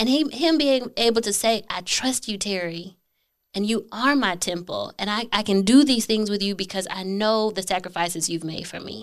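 A woman talks in an unremarkable speaking voice, mid-range in pitch with typical rises and falls. The background is silent and the recording very clean. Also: moderate pace. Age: 30s. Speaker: podcast guest. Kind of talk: interview.

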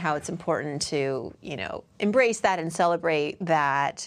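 A normal speaking voice from a woman with an American accent, fairly low in pitch, with ordinary pitch variation. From US Northeast, Worcester, Massachusetts. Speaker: personal finance author and TV commentator. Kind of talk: casual interview chat.

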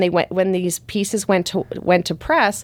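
A woman's medium-pitched voice at a moderate pace, recorded very cleanly against a silent background. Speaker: writer. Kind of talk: casual interview chat.

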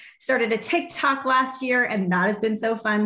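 Audible room echo surrounds a woman speaking at a moderate pace. Her pitch shows ordinary variation. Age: 30s. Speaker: fitness coach and business mentor. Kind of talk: casual interview chat. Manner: animated.

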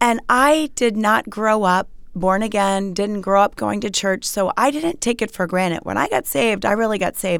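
On a very clean recording with a silent background, a woman with a plain, everyday voice talks at a medium pitch and moderate pace, with lively intonation and hardly any pauses. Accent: American. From Maryland, US. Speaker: author, speaker and TV host. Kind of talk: interview.

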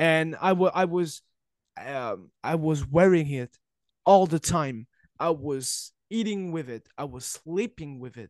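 Recorded dry and close with no echo against a quiet background, a man with a French accent speaks very slowly at a fairly high pitch, with ordinary pitch variation and big swings in loudness. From France. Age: 20s. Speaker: wrestling journalist. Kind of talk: casual interview conversation. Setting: remote recording, video call. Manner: halting, searching for words.

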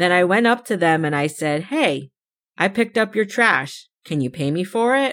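Heard in a very clean recording with a silent background, a woman speaks with an American accent at a moderate pace. Her medium pitch makes very wide swings. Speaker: podcast host. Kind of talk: solo podcast monologue, personal storytelling.

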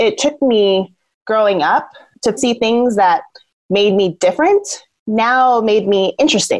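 Speaking in an American accent, a woman with an unremarkable speaking voice talks at a fairly slow pace, her fairly high pitch showing ordinary variation and her loudness very even. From Southern Oregon, US. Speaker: peacebuilding communications professional. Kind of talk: interview.

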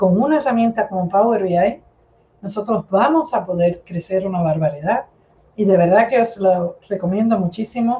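Using a plain, everyday voice, a woman talks at a moderate pace with a medium pitch and ordinary pitch variation. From Cuba. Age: 50s. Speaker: data analytics expert. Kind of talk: interview.

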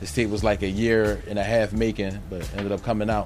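Music plays behind a man speaking at a fairly low pitch. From Philadelphia area, US. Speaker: rapper. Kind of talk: casual interview. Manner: halting, many fillers.

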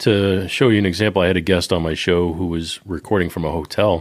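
A man speaks in a Boston accent at a fairly quick pace. His very deep, low voice shows ordinary pitch variation. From US Northeast, Boston. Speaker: podcaster, security professional. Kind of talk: casual chat. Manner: dry, understated.

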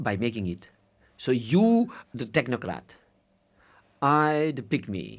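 Recorded very cleanly against a silent background, a man with a non-native accent speaks at a fairly high pitch with very wide pitch swings. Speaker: philosopher. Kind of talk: interview. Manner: laughs often while talking.

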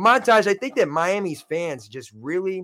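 A loud man with an American accent speaks at a moderate pace, his tone animated and intonation lively. The recording is very clean, with a silent background. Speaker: sports podcast host. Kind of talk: casual chat. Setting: live stream.

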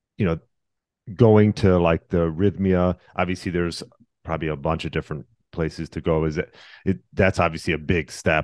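Against a quiet background, a man with a very deep, low pitch and ordinary pitch variation talks at a moderate pace, in a dry, close sound with no echo. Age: 40s. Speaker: podcast host. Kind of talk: interview.

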